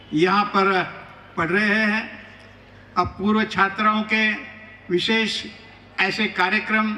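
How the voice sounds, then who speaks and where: Here a man speaks in a raised, projected voice with fairly even intonation. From rural Maharashtra. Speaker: chief guest speaker. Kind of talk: ceremonial speech. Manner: formal.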